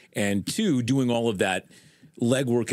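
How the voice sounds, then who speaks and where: A man talks at a moderate pace and a medium pitch. He has an unremarkable speaking voice. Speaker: podcast host. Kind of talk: interview question.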